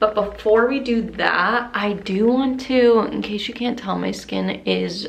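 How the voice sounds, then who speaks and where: A woman's voice carries audible room echo, with noticeable background noise in the mix. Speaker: lifestyle vlogger. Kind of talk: casual vlog talk to camera.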